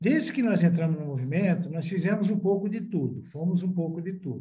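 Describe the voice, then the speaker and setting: With audible room echo, a man with a high pitch and a dark, mellow tone speaks at a moderate pace with ordinary pitch variation. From Italy. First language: Italian (speaking Portuguese). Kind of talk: podcast interview.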